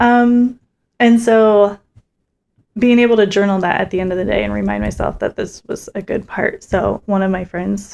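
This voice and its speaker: Quiet and fairly even in intonation, a woman talks at a moderate pace and a medium pitch. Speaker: podcast co-host, stay-at-home mom. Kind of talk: casual chat. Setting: home, recording at night. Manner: quiet, hushed.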